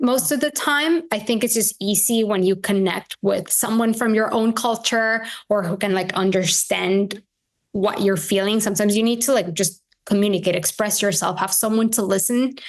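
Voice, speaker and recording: A moderate pace and very even loudness in a Spanish accent, against a quiet background. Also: woman. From Venezuela. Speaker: integrative health practitioner. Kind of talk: podcast interview.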